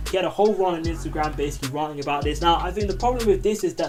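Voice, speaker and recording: A man rattles along at a very fast pace while music plays in the background. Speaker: YouTuber commentator. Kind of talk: casual commentary vlog. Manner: rambling, informal.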